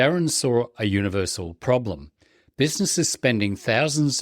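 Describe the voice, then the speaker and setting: A man with an Australian accent at a medium pitch and moderate pace, his pitch swinging very widely, in a very clean recording with a silent background and a dry, close sound with no echo. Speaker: podcast host. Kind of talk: scripted intro; interview.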